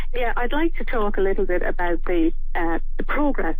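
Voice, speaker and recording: With music in the background, this voice keeps a moderate pace and swings very widely in pitch. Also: woman. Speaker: director of an animal rights vegan campaign, radio guest. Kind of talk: radio interview answer.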